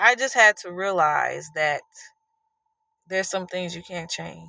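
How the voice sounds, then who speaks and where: On a very clean recording with a silent background, a woman speaks at a fairly slow pace, her loudness swinging widely. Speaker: podcast host. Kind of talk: motivational talk.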